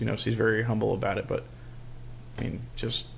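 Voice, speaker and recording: A mumbling man with an American accent. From New York, Hudson Valley. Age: 40s. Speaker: police officer and musician. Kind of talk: casual chat.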